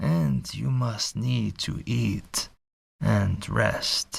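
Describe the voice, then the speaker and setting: A man's put-on character voice at a very slow pace. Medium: read story. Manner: courtly, formal, measured.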